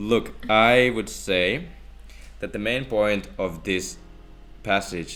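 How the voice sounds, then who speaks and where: Vocal fry marks this man's very deep, low voice, set in a Finnish accent. He talks at a very slow pace, and audible room echo is present. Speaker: theology student. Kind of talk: casual Bible discussion.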